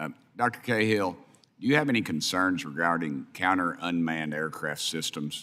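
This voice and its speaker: A man speaks with a Tennessee accent in a very deep, low pitch. His pace is moderate and his pitch variation ordinary. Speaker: congressman. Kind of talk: congressional hearing questioning.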